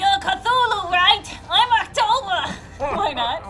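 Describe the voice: Using a put-on character voice at an extremely high pitch, a woman speaks at a fairly slow pace over clear background noise.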